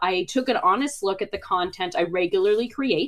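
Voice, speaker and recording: A woman talks at a fairly quick pace. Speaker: website design expert and content creator. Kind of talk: webinar presentation. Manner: fast.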